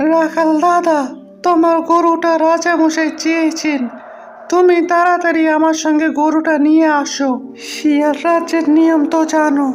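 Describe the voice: A cartoonish character voice talks at a fairly slow pace in a high, monotone pitch with flat intonation while music plays clearly in the background.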